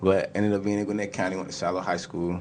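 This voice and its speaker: Amid audible room echo, a man with a very deep, low pitch speaks in a relaxed tone with monotone, flat intonation. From Georgia, Stone Mountain / Atlanta area. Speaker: musician. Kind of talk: interview. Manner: casual, relaxed.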